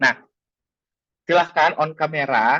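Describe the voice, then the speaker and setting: Fairly high in pitch, a man speaks with a bright, sharp tone. His pace is fairly slow. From Makassar, South Sulawesi, Indonesia. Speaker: teacher and workshop speaker. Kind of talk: webinar presentation. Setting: video call. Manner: hesitant with frequent fillers.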